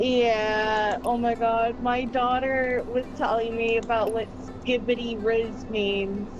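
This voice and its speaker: A woman's fairly high voice at a very slow pace, monotone and flat, at very even loudness with hardly any pauses, amid audible room echo and noticeable background noise. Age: adult, parent of a seven-year-old. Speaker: streamer. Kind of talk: casual chat. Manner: casual, halting.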